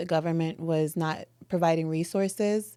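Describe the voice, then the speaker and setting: On a very clean recording with a silent background, a woman speaks in a fairly low pitch with a New York accent. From New York (Brooklyn). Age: 30s. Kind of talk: casual interview.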